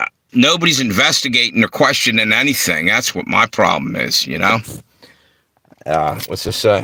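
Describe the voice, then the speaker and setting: A man with a Philadelphia accent at a moderate pace, broken by long, frequent pauses. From Philadelphia and Delaware. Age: 60s. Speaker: livestream host. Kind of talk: casual livestream talk. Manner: animated.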